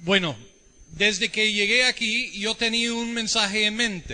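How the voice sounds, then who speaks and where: A man's raised, projected voice, high-pitched with a bright, sharp tone. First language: English (speaking Spanish). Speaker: visiting preacher, Bible teacher. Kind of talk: sermon. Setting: church service.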